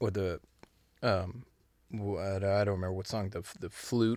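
A man's fairly low, monotone, flat voice with a Californian accent. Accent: Californian American. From Southern California (Los Angeles). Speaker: musician. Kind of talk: casual chat. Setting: studio.

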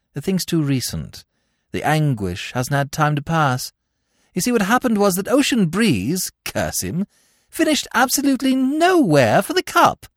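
With an animated tone and very wide pitch swings, a man speaks at a high pitch and a moderate pace, the sound dry and close with no echo on a very clean recording with a silent background. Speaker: audiobook narrator. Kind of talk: dramatic narration of a comic novel, with character voices. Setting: studio. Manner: animated, bright, plummy and jaunty in the first-person narration; warm, conversational and sincere in the podcast intro.

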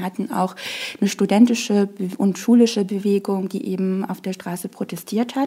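With noticeable background noise behind her, a woman speaks at a moderate pace and medium pitch. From Morocco. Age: 20s. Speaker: political scientist and party staffer. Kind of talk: interview. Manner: hesitant, many fillers.

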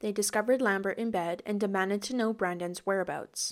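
A woman with a Canadian accent and an unremarkable speaking voice, medium in pitch, at a fairly quick pace, on a very clean recording with a silent background. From small town, Canada. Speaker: true crime podcast co-host. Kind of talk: casual chat; scripted narration.

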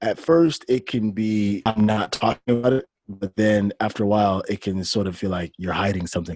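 In a normal speaking voice, a man with an American accent talks at a fairly low pitch and moderate pace with ordinary pitch variation and hardly any pauses, the sound dry and close with no echo. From US Midwest, Detroit, Michigan. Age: 30s. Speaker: artist and online show host. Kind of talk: interview conversation.

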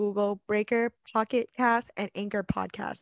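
Someone speaks at a moderate pace with an American accent, in a monotone, flat delivery. The background is quiet, and the sound is dry and close with no echo. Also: woman. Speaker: podcast co-host. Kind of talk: casual chat.

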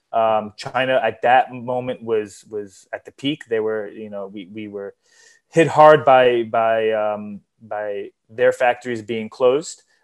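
At a very slow pace and with a New York accent, the speaker keeps a fairly even intonation while the loudness swings widely. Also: man, medium pitch for a man. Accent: New York American English. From US Northeast, New York. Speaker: sports event organizer and entrepreneur. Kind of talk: interview.

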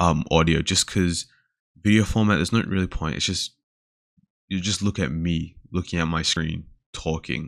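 In a very clean recording with a silent background, the speaker talks at a moderate pace with an Australian accent. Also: man. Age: 20s. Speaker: podcast host and uni student. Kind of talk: casual solo chat, introduction. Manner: casual, filler-heavy.

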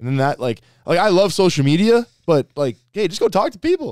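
A man speaks at a fairly quick pace in an animated tone, his high voice making very wide pitch swings. The recording is very clean, with a silent background. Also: dry, close sound with no echo. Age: 20s. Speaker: co-host and sales trainer. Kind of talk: casual chat. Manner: animated, joking, bro-talk.

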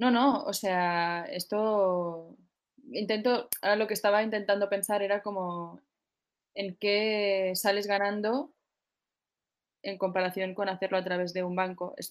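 A woman speaks at medium pitch and a fairly slow pace, her intonation fairly even. She leaves long, frequent pauses. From Spain, Barcelona. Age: 30s. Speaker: singer. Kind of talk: interview.

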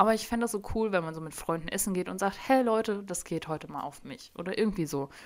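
A woman speaks very fast at a medium pitch. Her pitch swings very widely. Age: 20s. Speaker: solo podcast host. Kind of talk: casual monologue. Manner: many fillers (ähm), chatty.

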